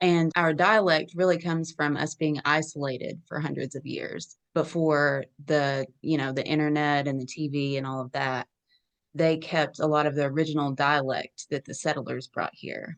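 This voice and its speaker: A woman with an Appalachian accent speaks at a moderate pace. Her pitch is very deep and low, with fairly even intonation. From US Appalachia, southwestern Virginia. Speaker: online Appalachian history creator. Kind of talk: casual interview.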